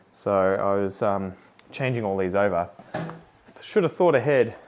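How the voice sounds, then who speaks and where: Delivery comes at a moderate pace with an Australian accent. Pitch swings are very wide. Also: man. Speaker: plant content creator. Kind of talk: casual vlog chat while doing chores.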